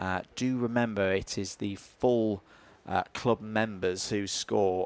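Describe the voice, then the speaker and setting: Pitched fairly low, a man with a Yorkshire accent talks with fairly even intonation in a dry, close sound with no echo, on a very clean recording with a silent background. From Yorkshire, northern England. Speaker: motorsport commentator. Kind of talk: live commentary. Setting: live stream at a kart circuit. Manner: frequent filler hesitations.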